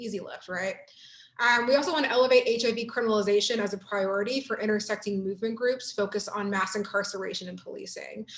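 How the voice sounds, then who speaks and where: A woman at a very fast pace and fairly high pitch, with big swings in loudness and noticeable background noise. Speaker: workshop presenter. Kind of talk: online workshop presentation. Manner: animated.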